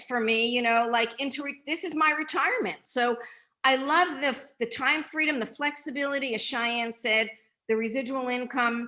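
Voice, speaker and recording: With a bright, sharp tone, a woman projects a raised voice at a high pitch and a moderate pace. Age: 60s. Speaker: nutrition product distributor. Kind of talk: testimony.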